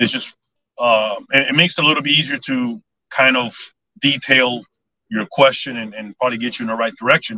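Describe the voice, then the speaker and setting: Using an American accent, a man speaks at a medium pitch with a bright, sharp tone, ordinary pitch variation and long, frequent pauses, in a dry, close sound with no echo. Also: fairly quick pace. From Miami, Florida. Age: 50s. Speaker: property inspector, navy veteran. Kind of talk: casual interview. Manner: hesitant, many fillers.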